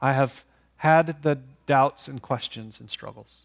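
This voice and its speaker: A man talks at a fairly slow pace in dry, close sound with no echo, on a very clean recording with a silent background. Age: 40s. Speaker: pastor. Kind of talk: sermon. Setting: church. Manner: seated while preaching.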